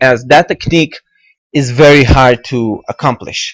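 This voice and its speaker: A man with an Israeli accent at a very slow pace and with fairly even intonation. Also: dry, close sound with no echo. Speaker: video game tutorial maker. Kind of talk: tutorial. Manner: halting, many fillers.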